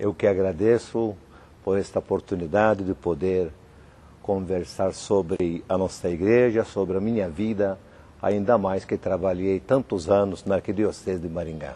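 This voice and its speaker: At a moderate pace, a man with a very deep, low pitch and dark, mellow tone speaks with fairly even intonation. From Malta. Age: 60s. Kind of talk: TV interview. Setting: cathedral.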